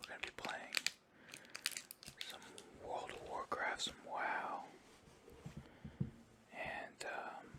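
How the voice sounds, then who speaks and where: Long, frequent pauses break up very slow whispering, with noticeable background noise underneath. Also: man. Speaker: ASMR gaming streamer. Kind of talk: casual gameplay commentary. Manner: whispered, soft-spoken.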